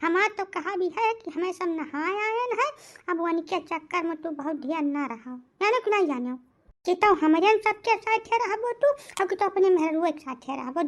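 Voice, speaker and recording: A cartoonish character voice at an extremely high pitch and moderate pace, over a quiet background. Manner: scolding, resentful.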